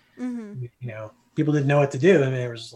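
A man speaks with an American accent. His voice is somewhat breathy and medium in pitch. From US Midwest, South Bend, Indiana. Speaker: anthropology professor. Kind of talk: casual interview.

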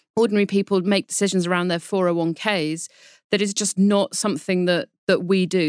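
Heard in a dry, close sound with no echo, a woman with a British accent and a medium pitch speaks in an animated tone in a very clean recording with a silent background. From Britain. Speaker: financial journalist, markets editor. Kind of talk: explanatory interview discussion. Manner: animated, laughs while talking.

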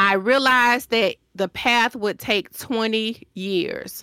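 With a Southern US accent, a woman's bright, sharp voice shows ordinary pitch variation in a very clean recording with a silent background and a dry, close sound with no echo. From Decatur, Georgia, US South. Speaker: designer and business owner. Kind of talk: interview answers, conversational.

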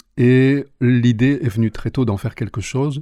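Against a quiet background, a man speaks at a moderate pace in a somewhat breathy voice with a dark, mellow tone. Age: 50s. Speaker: singer and English teacher. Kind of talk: interview. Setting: studio.

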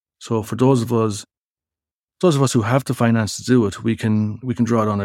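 With an Irish Midlands accent, a man talks at a fairly quick pace and medium pitch, his intonation fairly even, on a very clean recording with a silent background. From Irish Midlands, County Laois. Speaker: academic researcher in sustainability. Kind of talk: interview conversation.

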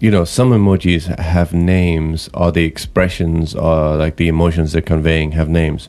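At a moderate pace, a man with a very deep, low pitch and a dark, mellow tone speaks with very even loudness and fairly even intonation. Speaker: podcast co-host. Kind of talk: casual chat. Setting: studio.

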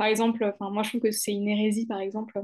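A woman's fairly high voice at a fairly quick pace, monotone and flat in intonation, over a quiet background. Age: 20s. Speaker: lawyer and anti-corruption consultant. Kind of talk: casual chat.

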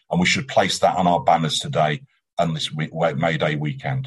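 A man speaks with lively intonation. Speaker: trade union leader. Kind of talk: rally speech.

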